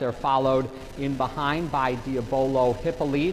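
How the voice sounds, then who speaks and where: The man's intonation is monotone and flat, his pitch fairly high. He speaks at a fairly slow pace over noticeable background noise. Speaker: horse race commentator. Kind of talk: horse race commentary.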